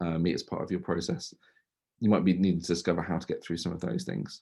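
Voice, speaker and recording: The voice has a dark, mellow tone and moves at a very fast pace. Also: man. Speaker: tech agency co-founder giving a talk. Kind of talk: webinar presentation.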